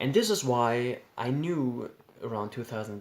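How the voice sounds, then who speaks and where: Speaking with a German accent, a man keeps to a medium pitch. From Germany. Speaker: YouTuber sharing personal experiences. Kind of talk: personal storytelling. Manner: halting, with repetitions.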